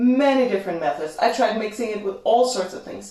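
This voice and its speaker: Noticeable background noise and audible room echo fill the recording. Through them, a woman talks with ordinary pitch variation. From Denmark. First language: Danish. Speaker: YouTuber. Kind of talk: livestream Q&A chat. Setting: home livestream.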